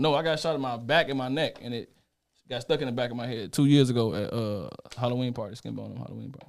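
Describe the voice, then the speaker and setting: A man at medium pitch talks at a very fast pace, with big swings in loudness and ordinary pitch variation. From Chicago. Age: 30s. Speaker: interview guest, wheelchair user and shooting survivor. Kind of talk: casual interview chat.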